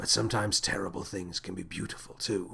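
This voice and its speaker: A man puts on a raspy character voice with a very deep, low pitch. He talks at a very fast pace. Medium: read story. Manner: commanding, theatrical.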